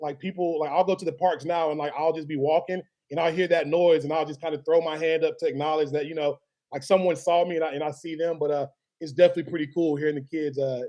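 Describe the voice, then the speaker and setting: In a Southern US accent, a man talks at a very fast pace with a fairly high pitch and a dark, mellow tone. His intonation is monotone and flat. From Alabama (Birmingham). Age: 30s. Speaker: sports videographer and media founder. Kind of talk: interview. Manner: casual, many fillers.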